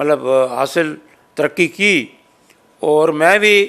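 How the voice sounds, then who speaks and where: A high-pitched man with ordinary pitch variation on a very clean recording with a silent background. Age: 70s. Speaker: social organization president. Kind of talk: interview.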